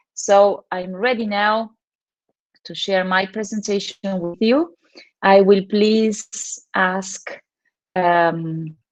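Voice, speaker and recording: Very slow female speech with a Spanish accent, medium pitch, fairly even intonation and long, frequent pauses. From Argentina. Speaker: teacher trainer. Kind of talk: conference presentation.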